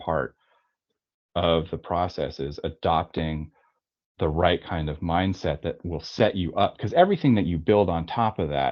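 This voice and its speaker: Here a man speaks with a very deep, low pitch and ordinary pitch variation. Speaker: tattoo artist and studio owner. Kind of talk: webinar interview. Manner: rambling with false starts.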